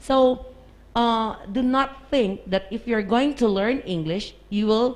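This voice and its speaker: Very slow pace from a woman, her pitch fairly high, with ordinary pitch variation. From Philippines. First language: Tagalog. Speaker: English teacher. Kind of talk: podcast discussion.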